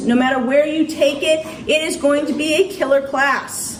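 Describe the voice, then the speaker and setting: Audible room echo comes through along with noticeable background noise. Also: woman. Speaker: college chemistry instructor. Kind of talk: classroom talk to students. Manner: fast.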